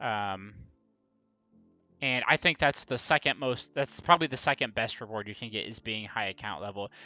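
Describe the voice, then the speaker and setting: A man's fairly low voice at a moderate pace, ordinary pitch variation, big swings in loudness, and music in the background. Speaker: gaming streamer. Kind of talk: live stream commentary. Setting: live stream. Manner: casual, filler-heavy.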